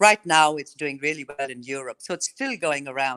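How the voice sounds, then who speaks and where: Speaking with an Australian accent at a fairly quick pace, a woman has a very deep, low pitch and a bright, sharp tone in a dry, close sound with no echo. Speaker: country singer. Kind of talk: radio interview.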